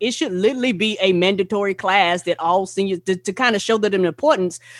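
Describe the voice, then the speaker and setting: Talking at a very fast pace, a woman with a Southern US accent has a medium pitch and ordinary pitch variation. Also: dry, close sound with no echo. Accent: Southern country. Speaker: podcast co-host, guest. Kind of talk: casual chat. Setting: video call.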